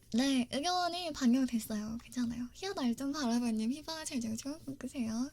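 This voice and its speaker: The woman talks at a moderate pace, her high pitch showing ordinary pitch variation. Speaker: ASMR streamer. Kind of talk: live stream chat with viewers.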